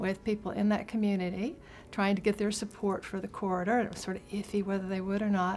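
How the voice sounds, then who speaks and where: A woman speaks at a fairly quick pace with an American accent. Her pitch is medium. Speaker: rail-trail advocate and organizer. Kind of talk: interview storytelling.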